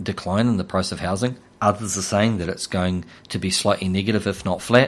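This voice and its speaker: With a New Zealand accent, a man talks at a fairly quick pace in fairly even intonation over a quiet background. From New Zealand, Hawke's Bay. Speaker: financial firm CEO. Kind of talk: casual interview about finance. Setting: radio studio.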